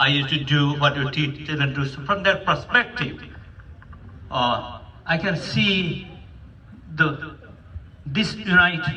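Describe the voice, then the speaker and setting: Against noticeable background noise and audible room echo, a man talks at a fairly high pitch. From Nepal. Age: 70s. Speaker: psychiatrist and community elder. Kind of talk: speech at a community meeting. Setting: hotel event with audience.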